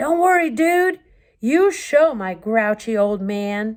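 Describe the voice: In a put-on character voice, a woman talks fairly slowly at a fairly high pitch, on a very clean recording with a silent background.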